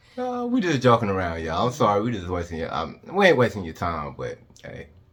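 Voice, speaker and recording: A fairly low-pitched man at a very fast pace, with very wide pitch swings and big swings in loudness. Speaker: travel vlogger. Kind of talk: casual chat. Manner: laid-back.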